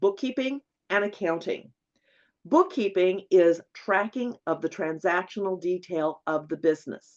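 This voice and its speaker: A woman with an ordinary speaking voice talks at a fairly slow pace, her medium pitch carried by lively intonation. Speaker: bookkeeping instructor. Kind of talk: webinar lecture. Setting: online webinar.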